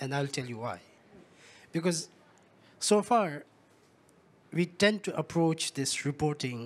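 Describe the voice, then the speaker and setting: The man's pace is fairly slow. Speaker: UN secretariat official; panelist. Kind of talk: panel discussion. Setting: stage with audience. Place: stage. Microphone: handheld.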